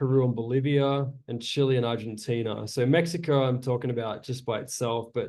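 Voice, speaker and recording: With an Australian accent and fairly even intonation, a man speaks at a medium pitch amid audible room echo. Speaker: naturalist and botanical tour guide. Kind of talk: lecture.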